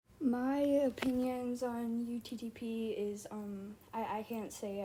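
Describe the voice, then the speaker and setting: Through noticeable background noise, a woman speaks with fairly even intonation. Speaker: online content creator. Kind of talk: casual Q&A answers to fans. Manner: hesitant, filler-heavy.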